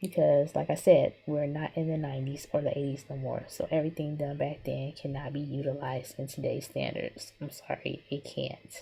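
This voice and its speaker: A quiet woman with hardly any pauses. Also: moderate pace. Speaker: digital artist. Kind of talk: drawing tutorial with commentary.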